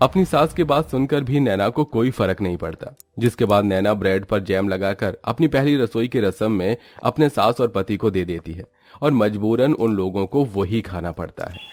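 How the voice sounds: The voice has a slightly mellow tone and lively intonation. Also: man, fairly low pitch for a man, moderate pace.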